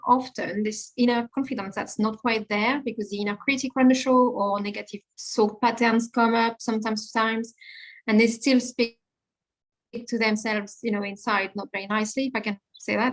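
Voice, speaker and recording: A woman with a French accent talks at a moderate pace in a monotone, flat intonation, her fairly high voice somewhat breathy. The sound is dry and close with no echo, over a quiet background. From France. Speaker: confidence coach and personal stylist. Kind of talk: podcast interview.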